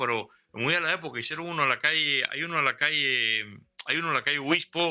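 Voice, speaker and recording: On a very clean recording with a silent background, a man with a bright, sharp tone and fairly high pitch speaks at a fairly quick pace. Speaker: historian guest. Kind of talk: casual interview.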